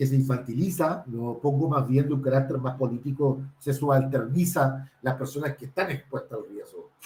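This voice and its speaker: At a fairly slow pace, a man talks in a dark, mellow, somewhat breathy voice with a fairly high pitch. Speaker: researcher and consultant on drug prevention. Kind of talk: panel talk. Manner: hesitant, many fillers.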